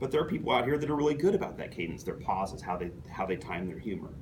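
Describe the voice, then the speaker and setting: A man's voice swings very widely in pitch. Audible room echo surrounds it. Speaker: toastmasters club member giving a speech. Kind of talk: prepared speech to club audience. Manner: fast, few pauses.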